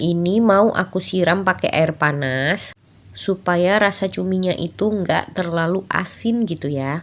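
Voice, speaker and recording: Very slowly, a woman talks at a medium pitch. The recording is very clean, with a silent background. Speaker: vlogger, stay-at-home mother. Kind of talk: vlog voiceover narration. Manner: casual, chatty.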